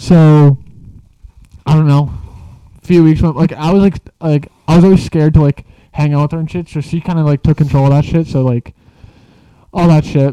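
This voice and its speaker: A dark, mellow tone comes at a fairly quick pace, broken by long, frequent pauses, in a monotone, flat intonation. The sound is dry and close, with no echo. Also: man, fairly high pitch for a man. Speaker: podcast host. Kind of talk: casual chat.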